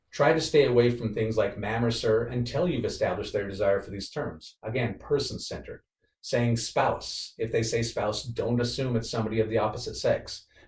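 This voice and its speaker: Fairly quick speech from a man with an American accent, with hardly any pauses. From rural Wyoming, US. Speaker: guest speaker at workplace diversity event. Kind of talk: presentation with Q&A. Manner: fast.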